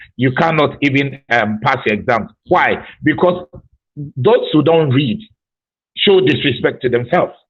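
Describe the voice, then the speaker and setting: Spoken in a strong Ghanaian accent at a fairly slow pace, with lively intonation. The voice is somewhat breathy and its loudness stays very even. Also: man, fairly high pitch for a man. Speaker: school principal. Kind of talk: interview.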